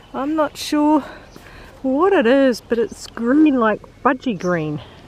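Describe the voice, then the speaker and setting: A woman's high-pitched voice with very wide pitch swings, over noticeable background noise. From New Zealand. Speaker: hiker vlogger. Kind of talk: casual vlog narration. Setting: outdoors on a hiking trail. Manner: casual with frequent fillers.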